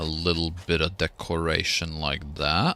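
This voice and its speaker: Over background music, a man with a very deep, low voice talks at a very slow pace in a calm, relaxed tone. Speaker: gaming streamer. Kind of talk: live gameplay stream chat.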